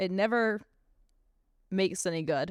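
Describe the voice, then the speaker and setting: At a fairly slow pace, a woman talks with ordinary pitch variation in a dry, close sound with no echo. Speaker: podcast host. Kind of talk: solo podcast monologue. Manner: loud; talkative, rambling.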